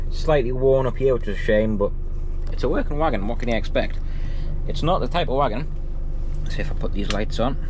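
Speech comes at a very fast pace with a dry sound and no echo, over noticeable background noise. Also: man. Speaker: truck driver vlogger. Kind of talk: casual vlog chat. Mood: enthusiastic, pleased. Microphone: phone near.

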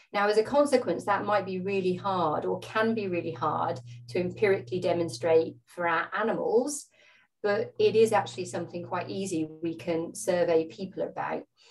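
A woman talks at a moderate pace with a fairly low pitch. Light background noise is present. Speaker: presenter. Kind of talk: lecture. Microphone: video call.

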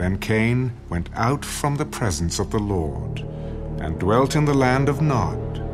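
A man speaks slowly at a fairly low pitch, his intonation lively. Clear music plays in the background.

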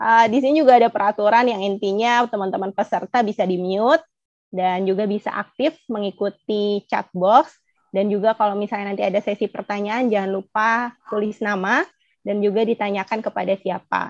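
The pace is fairly quick as a woman speaks with fairly even intonation. The sound is dry with no echo, over a quiet background. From Indonesia. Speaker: webinar moderator. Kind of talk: webinar moderation. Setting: video call. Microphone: video call.

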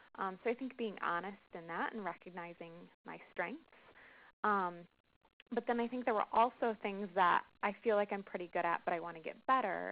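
A woman speaks at a moderate pace with a medium pitch and ordinary pitch variation. Her speech has long, frequent pauses. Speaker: webinar participant. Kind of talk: group discussion. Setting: phone call.

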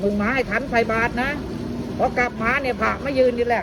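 Over noticeable background noise, a woman in a Phetchaburi accent speaks with an animated tone at a fairly high pitch. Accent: Phetchaburi Thai dialect. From Phetchaburi, Thailand (Ban Lat); Thailand. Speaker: local dialect speaker; speaker. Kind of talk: casual interview. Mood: cheerful, amused. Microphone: phone near.

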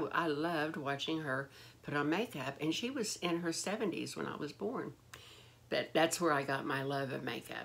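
The pace is moderate. Pitch varies an ordinary amount. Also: woman. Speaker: beauty vlogger. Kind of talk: casual vlog chat. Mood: warm nostalgic. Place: home room. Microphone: phone near.

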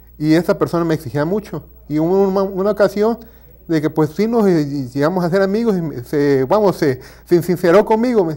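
The background is quiet. A man's dark, mellow tone rides a high pitch with lively intonation. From Mexico, Villahermosa, Tabasco; Tabasco, Mexico. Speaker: university lecturer; teacher being interviewed. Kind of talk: interview. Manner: halting. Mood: relaxed, reflective. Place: studio. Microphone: lapel.

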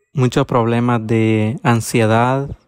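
Over music in the background, a man at a medium pitch talks very slowly in a flat monotone, with a dry, close sound and no echo. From Honduras, Copán. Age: 20s. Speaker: migrant asylum seeker. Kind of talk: personal testimony. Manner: halting, with fillers.

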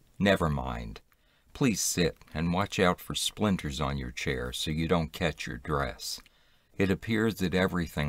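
In a very clean recording with a silent background, a man speaks at a fairly slow pace with vocal fry.

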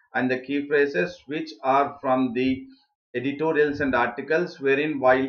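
A man's voice moves at a moderate pace, intonation fairly even, with quiet behind him. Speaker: online exam tutor. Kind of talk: lecture. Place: home room.

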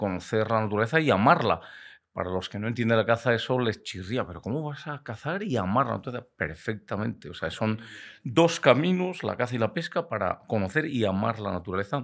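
A man's medium-pitched voice with lively intonation and a fairly quick pace, against a quiet background. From Spain, Valladolid (Castile); Castile, Spain. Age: 60s. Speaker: biologist and hunting media veteran; podcast guest. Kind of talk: casual interview chat. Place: studio. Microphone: studio mic.

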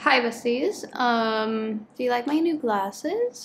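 A high-pitched woman's voice with ordinary pitch variation over light background noise. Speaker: book vlogger. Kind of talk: casual vlog chat. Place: home room. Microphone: camera far.

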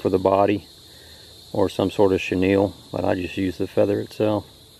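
A man's fairly low-pitched voice, dark and mellow in tone, dry with no echo. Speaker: angler vlogger. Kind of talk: casual vlog chat. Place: open country. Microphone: phone near.

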